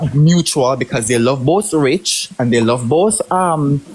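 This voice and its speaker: Fairly high-pitched male voice with a Jamaican accent and lively intonation, music playing behind it. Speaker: livestream participant. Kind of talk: heated debate.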